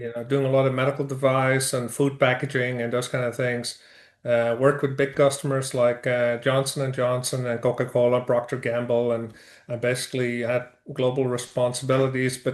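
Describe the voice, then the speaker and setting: A man with a Dutch accent talks at a fairly quick pace in a medium pitch, his intonation monotone and flat. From Netherlands. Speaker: construction business owner. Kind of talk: interview. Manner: hesitant, many fillers.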